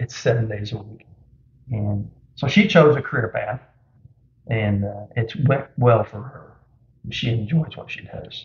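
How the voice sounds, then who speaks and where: Medium-pitched, somewhat breathy man at a fairly slow pace, with ordinary pitch variation, big swings in loudness and long, frequent pauses. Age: 60s. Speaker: small business owner. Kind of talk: interview.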